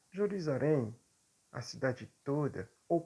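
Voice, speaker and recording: A man speaks at a very slow pace. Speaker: preacher. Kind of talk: sermon. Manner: halting, with frequent fillers.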